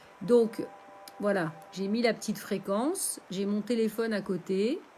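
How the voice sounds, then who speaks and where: Fairly slow speech from a woman at medium pitch, ordinary in its pitch movement, amid noticeable background noise. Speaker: meditation teacher. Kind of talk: live stream guided meditation. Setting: live stream. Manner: halting, many fillers.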